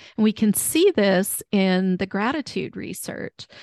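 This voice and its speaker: A woman at a medium pitch, speaking very slowly, with a dry, close sound, no echo and a quiet background. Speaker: podcast co-host and neuro coach. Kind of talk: casual interview chat.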